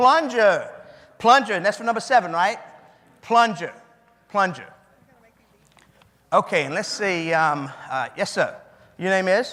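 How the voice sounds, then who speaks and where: Raising and projecting his voice, a high-pitched man with a bright, sharp tone and lively intonation speaks at a fairly slow pace with long, frequent pauses. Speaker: keynote speaker, memory trainer. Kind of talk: live memory demonstration with audience.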